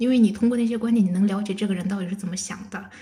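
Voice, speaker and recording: Intonation stays fairly even, and audible room echo surrounds the voice. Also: woman. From China. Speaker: bank auditor. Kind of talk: casual chat.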